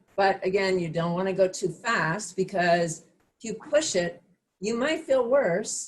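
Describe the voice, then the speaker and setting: Lively intonation and some breathiness in a woman's voice. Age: 60s. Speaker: fitness instructor. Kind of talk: online class instruction. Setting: video call.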